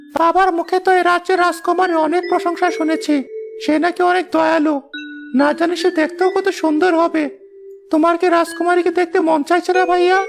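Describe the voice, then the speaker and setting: At a moderate pace, a cartoonish character voice comes through over clear background noise. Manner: chatty.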